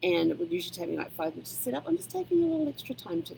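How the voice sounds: Her tone is dark and mellow, and the woman's pitch varies in an ordinary way.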